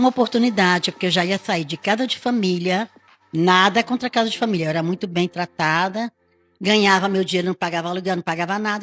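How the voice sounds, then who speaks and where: A woman's fairly quick speech runs over music in the background. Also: dry, close sound with no echo. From Rio de Janeiro, Brazil. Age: 60s. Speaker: hairdresser. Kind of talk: interview.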